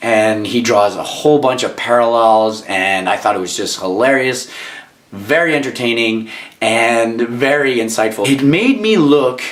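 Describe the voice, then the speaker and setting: A man at a moderate pace and medium pitch, with ordinary pitch variation and an animated tone, amid noticeable background noise and audible room echo. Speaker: actor and writer. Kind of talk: casual book review vlog. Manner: animated, many fillers and restarts.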